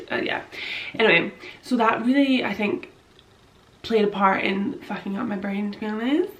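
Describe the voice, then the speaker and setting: This woman talks at a moderate pace with lively intonation and long, frequent pauses. Noticeable background noise runs under her voice. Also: big swings in loudness. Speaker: vlogger. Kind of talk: personal testimony vlog. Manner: halting.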